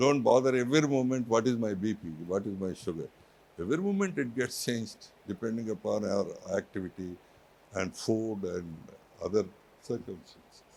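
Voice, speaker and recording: A man with a Telugu accent, moderate pace, ordinary pitch variation and long, frequent pauses. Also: medium pitch for a man. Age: 70s. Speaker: university chairman. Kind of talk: motivational speech.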